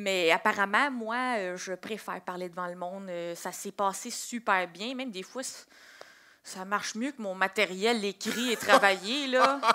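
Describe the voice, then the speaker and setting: A woman talks at a fairly slow pace and a medium pitch. Her pitch varies in an ordinary way while her loudness swings widely. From Quebec. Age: 20s. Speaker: comedian. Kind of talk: interview.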